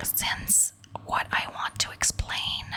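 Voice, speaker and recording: A very slow whisper, with clear noise in the background. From Quebec, Canada. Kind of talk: ASMR whisper ramble, casual talk to camera. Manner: whispered, soft-spoken.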